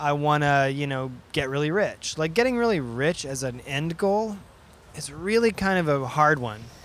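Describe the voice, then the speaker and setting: A man with a plain, everyday voice talks at a moderate pace, his pitch fairly high and his intonation lively. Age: 30s. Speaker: video game sound designer and DJ. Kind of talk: casual chat.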